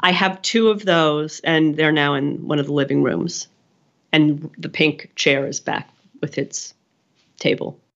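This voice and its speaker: A woman with an American accent, a very deep, low pitch and ordinary pitch variation, at a fairly slow pace. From Pennsylvania, US. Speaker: art furniture collector. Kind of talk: interview. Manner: halting, many restarts.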